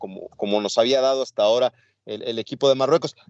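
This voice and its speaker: A man with a Mexican accent. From Mexico. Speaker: sports podcast co-host. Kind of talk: casual sports talk.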